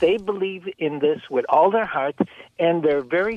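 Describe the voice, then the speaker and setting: Ordinary pitch variation from a man. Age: 70s. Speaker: caller. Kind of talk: call-in talk radio.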